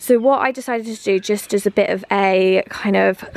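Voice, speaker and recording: Noticeable background noise runs behind the recording. A woman talks at a medium pitch. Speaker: home vlogger and personal trainer. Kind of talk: casual vlog. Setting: outdoors in garden. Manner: speaking quietly.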